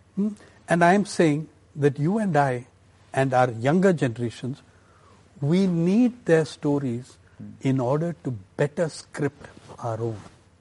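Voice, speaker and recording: A man's somewhat breathy, dark, mellow voice, fairly high in pitch, at a fairly slow pace with long, frequent pauses, in an Indian accent. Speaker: journalist and author. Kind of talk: interview. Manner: thoughtful, measured.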